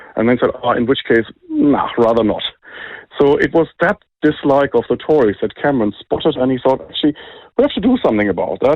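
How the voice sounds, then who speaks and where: Speaking at a fairly quick pace, a man with a German accent has a fairly high-pitched voice. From Germany. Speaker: think tank director. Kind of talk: interview.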